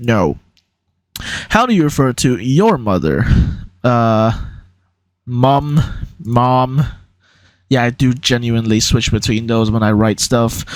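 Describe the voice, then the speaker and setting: Very slow and very even in loudness, a man speaks at medium pitch with ordinary pitch variation and long, frequent pauses. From Hong Kong. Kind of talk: casual talk to camera. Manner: hesitant, many filler words.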